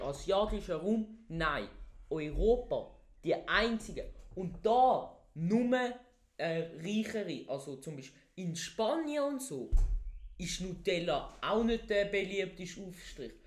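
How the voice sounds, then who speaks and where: The speech comes at a very slow pace, with big swings in loudness and audible room echo. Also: man. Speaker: podcast co-host. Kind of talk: casual chat. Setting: basement.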